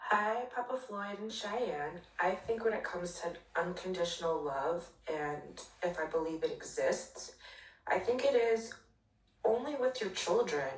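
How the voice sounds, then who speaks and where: A woman talks at a fairly slow pace, her medium-pitched voice full of lively intonation. Noticeable background noise sits behind her. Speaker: fan sending voice note. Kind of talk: recorded voice note.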